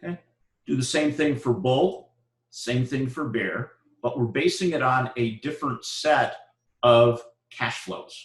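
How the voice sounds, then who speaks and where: With long, frequent pauses and a fairly slow pace, a man speaks at a medium pitch in a somewhat breathy voice with ordinary pitch variation. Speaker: university lecturer. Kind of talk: lecture. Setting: live classroom lecture.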